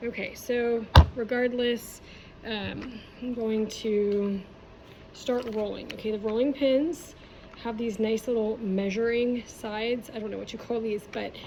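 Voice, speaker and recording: An unremarkable speaking voice from a woman, fairly high in pitch, fairly slow, with fairly even intonation. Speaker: art teacher. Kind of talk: tutorial.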